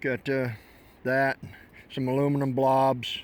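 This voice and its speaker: Relaxed in tone, a man speaks at a fairly high pitch. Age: 60s. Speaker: metal detecting hobbyist. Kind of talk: casual vlog narration. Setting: outdoors on a beach. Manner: relaxed, conversational.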